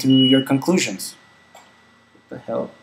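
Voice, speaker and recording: A man talks with fairly even intonation. Noticeable background noise runs behind him. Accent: Spanish. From Mexico. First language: Spanish. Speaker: vlogger. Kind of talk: casual Q&A vlog. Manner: halting, many fillers and repeats.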